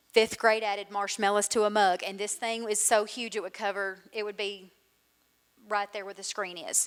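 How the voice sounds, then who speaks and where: Speaking at a moderate rate, a woman talks in a Southern US accent. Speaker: school literacy coordinator. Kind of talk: conference presentation.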